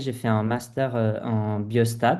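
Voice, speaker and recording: This is a man speaking. His pitch is medium. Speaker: public health medical resident. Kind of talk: informational presentation. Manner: halting, many hesitations.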